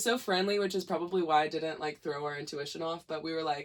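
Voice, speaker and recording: Her pitch varies in an ordinary way as this woman talks at a very fast pace. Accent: Missouri. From Missouri, St. Louis. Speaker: musician. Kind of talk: casual chat.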